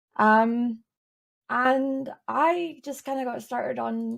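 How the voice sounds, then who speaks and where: A woman with a Scottish accent and a high pitch speaks at a very slow pace with fairly even intonation on a very clean recording with a silent background. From Scotland, east coast. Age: 20s. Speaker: streamer and illustrator. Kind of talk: casual interview.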